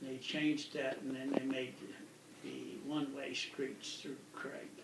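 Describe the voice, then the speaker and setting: In an American accent, a man talks at a very slow pace, with audible room echo and noticeable background noise. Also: medium pitch for a man, fairly even intonation. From northwest Colorado, US. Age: 70s. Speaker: retired forest service equipment manager. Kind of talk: oral history interview. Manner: relaxed, conversational.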